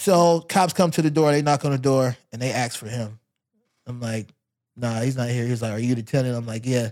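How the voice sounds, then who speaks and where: A man speaks in an unremarkable speaking voice at a fairly quick pace. His pitch is medium, with ordinary variation. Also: very clean recording, silent background. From US, moved often; born Louisiana. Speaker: fashion and footwear designer. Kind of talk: casual interview.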